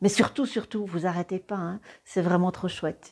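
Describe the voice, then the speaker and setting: A woman with a dark, mellow tone is heard in a very clean recording with a silent background. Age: 60s. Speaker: ceramics teacher. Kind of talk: personal introduction video. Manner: hesitant, many fillers.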